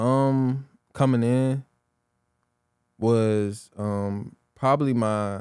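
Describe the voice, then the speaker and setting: A man speaks at a very slow pace with long, frequent pauses. His intonation stays fairly even. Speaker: rapper and entrepreneur. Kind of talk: casual interview.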